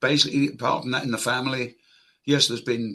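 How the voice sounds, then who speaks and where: This man talks at a fairly quick pace. His tone is bright and sharp. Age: 80s+. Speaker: COPD patient, army veteran. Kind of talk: patient testimony interview.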